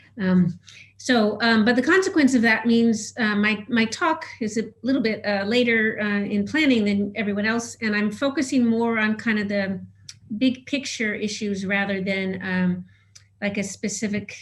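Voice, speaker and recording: With audible room echo around her, a woman speaks in a somewhat breathy, fairly high voice with ordinary pitch variation. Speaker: cultural anthropologist. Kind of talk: conference presentation. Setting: video call webinar. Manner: fast; halting with many fillers.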